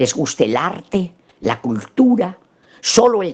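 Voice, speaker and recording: A woman's dark, mellow tone moves through very wide pitch swings. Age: 80s+. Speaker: psychologist lecturer. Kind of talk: lecture.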